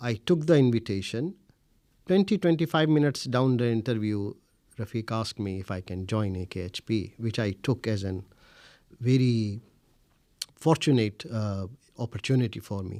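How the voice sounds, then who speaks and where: In a very clean recording with a silent background, a man with a Pakistani accent and a dark, mellow tone speaks at a moderate pace with lively intonation and long, frequent pauses. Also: medium pitch for a man. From India, Delhi. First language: Urdu. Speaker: researcher. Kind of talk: interview. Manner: hesitant, many fillers.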